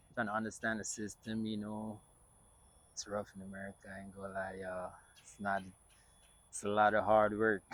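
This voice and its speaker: In a Jamaican accent, a man speaks at a fairly quick pace with long, frequent pauses. His fairly low voice stays monotone, with flat intonation. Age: 20s. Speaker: filmmaker and content creator. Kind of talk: personal vlog monologue. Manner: casual, many fillers.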